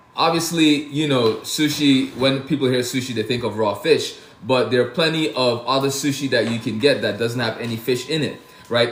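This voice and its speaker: The delivery is animated and at a moderate pace. Room echo and noticeable background noise can be heard. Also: man. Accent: American. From Brooklyn, New York (born Saint Lucia). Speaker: chef. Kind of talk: casual livestream chat. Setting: TikTok live stream, home kitchen. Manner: casual, animated.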